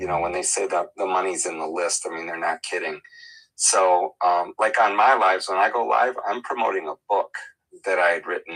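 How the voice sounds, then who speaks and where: The recording is dry and close, without any echo. A man talks at a moderate pace. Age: 60s. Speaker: digital marketer. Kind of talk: casual chat. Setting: livestream call.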